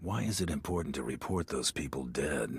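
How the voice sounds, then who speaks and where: Using a put-on character voice, a man speaks at a very deep, low pitch. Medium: video game. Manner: terse, dry.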